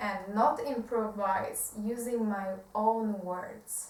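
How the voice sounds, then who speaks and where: A woman with a Polish accent and a fairly high pitch, at a very slow pace, amid audible room echo. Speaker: self-help video creator. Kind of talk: reading aloud. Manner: halting.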